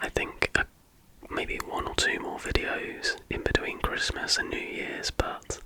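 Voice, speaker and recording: A man is whispering at a very slow pace. Noticeable background noise is present. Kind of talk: casual ramble to camera. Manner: whispered.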